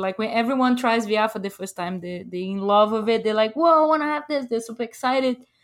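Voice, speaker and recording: The speaker is a woman with a Brazilian Portuguese accent. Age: 30s. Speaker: video game developer. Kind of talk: casual interview. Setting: remote call. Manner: halting.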